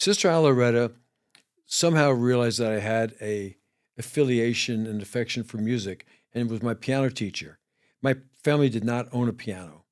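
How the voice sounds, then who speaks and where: With a New York accent, the speaker goes at a fairly quick pace with long, frequent pauses and ordinary pitch variation, in a very clean recording with a silent background. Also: man, medium pitch for a man. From New York City, the Bronx. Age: 70s. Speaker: ER doctor and musician. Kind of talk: interview chat. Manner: halting.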